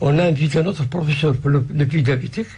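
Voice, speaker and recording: Noticeable background noise and audible room echo surround a man speaking at a moderate pace in a fairly high voice with ordinary pitch variation. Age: 60s. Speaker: patient association president. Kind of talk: radio interview. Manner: halting.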